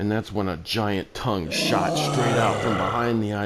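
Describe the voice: The delivery is plain reading aloud. Intonation stays fairly even.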